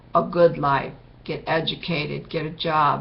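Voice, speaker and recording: A woman with a very deep, low pitch and vocal fry speaks at a fairly slow pace. Audible room echo surrounds her voice. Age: 60s. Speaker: video blogger sharing personal testimony. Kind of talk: testimony.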